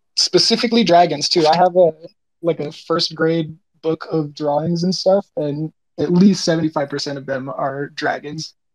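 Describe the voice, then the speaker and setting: A man speaks in a normal speaking voice, fairly high for a man, with fairly even intonation at a moderate pace. The sound is dry and close, with no echo. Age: 20s. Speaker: artist. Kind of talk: interview. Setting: live audio chat room.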